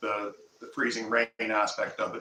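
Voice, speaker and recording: A man speaks with a Canadian accent. Background noise is noticeable. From Nova Scotia, Canada. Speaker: homesteader, channel host. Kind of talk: casual live stream chat. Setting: live stream.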